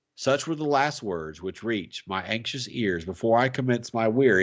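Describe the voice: What this recording holds is plain reading aloud.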